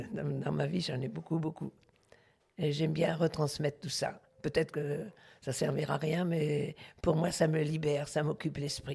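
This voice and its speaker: A woman speaks at a moderate pace with very deep, low pitch, vocal fry and a dark, mellow tone. Her intonation is monotone and flat, with long, frequent pauses. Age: 80s+. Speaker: retired truck driver. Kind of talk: interview. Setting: at home. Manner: halting, with many repetitions.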